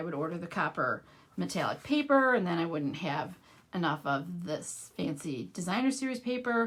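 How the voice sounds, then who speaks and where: With a Midwestern accent, a woman talks at a fairly quick pace and swings her pitch very widely. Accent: Midwest US. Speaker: craft demonstrator. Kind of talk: live craft tutorial. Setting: livestream. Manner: casual, conversational.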